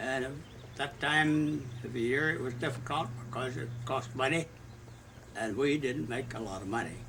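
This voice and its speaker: At a moderate pace, a man speaks at a medium pitch with ordinary pitch variation amid audible room echo. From US Midwest, Southwest Missouri. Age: 90s. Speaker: retired Coast Guard officer. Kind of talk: oral history interview. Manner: halting, many fillers.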